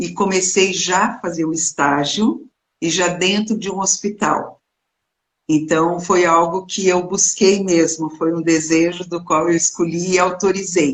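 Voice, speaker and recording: At a fairly slow pace, a woman with a fairly low pitch and fairly even intonation speaks in a normal speaking voice. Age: 60s. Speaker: clinical psychologist. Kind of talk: interview.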